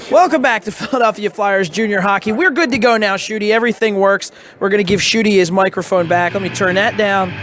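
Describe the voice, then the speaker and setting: A man talks at a very fast pace in a high pitch. Music plays in the background. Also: ordinary pitch variation. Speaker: broadcaster, game host. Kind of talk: sports broadcast host segment.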